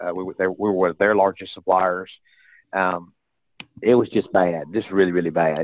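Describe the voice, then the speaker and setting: Speaking with a strong Southern US accent, a man has a very deep, low pitch and fairly even intonation at a fairly quick pace. The recording is very clean and silent behind him, with a dry, close sound and no echo. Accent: heavy Southern US. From US South. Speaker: real estate investor. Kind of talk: interview. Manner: halting, many fillers.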